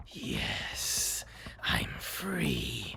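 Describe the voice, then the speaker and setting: A put-on character voice with very deep, low pitch over clear background noise. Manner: gleeful, triumphant.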